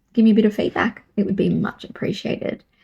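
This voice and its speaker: Somewhat breathy and dark, mellow in tone, a woman's medium-pitched voice moves with fairly even intonation. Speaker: podcast host. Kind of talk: commentary monologue.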